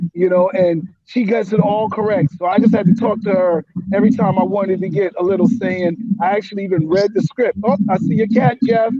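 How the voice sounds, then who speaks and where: A man with an American accent talks at a fairly quick pace in a high pitch, keeping his intonation fairly even. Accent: New York, as heard in Florida. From New Jersey, near New York. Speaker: writer and comedian. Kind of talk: casual video call interview.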